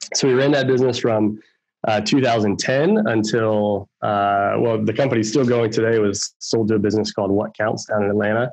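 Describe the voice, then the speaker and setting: A man with an American accent and an ordinary speaking voice talks at a moderate pace, his fairly low pitch carried by fairly even intonation. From Baltimore, Maryland, US. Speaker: tech sales executive. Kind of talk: interview.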